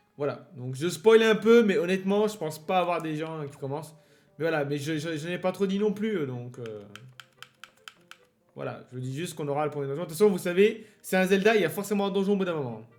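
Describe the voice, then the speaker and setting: Over music in the background, a man speaks fairly quickly with a high pitch and lively intonation. His loudness swings widely. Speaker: let's play gamer. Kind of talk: gameplay commentary. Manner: hesitant, many fillers.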